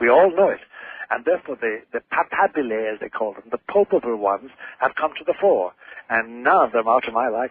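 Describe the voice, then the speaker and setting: Spoken with an Irish accent at a fairly quick pace, the voice has lively intonation. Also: man, medium pitch for a man. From Ireland. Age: 70s. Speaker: priest and author. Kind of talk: radio interview.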